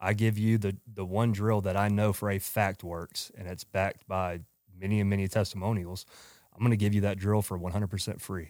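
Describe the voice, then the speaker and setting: In a strong Southern US accent, the speaker talks at a fairly quick pace with monotone, flat intonation on a very clean recording with a silent background. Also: man, fairly low pitch for a man. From Georgia, US South. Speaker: company owner, former baseball player. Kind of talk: casual podcast interview.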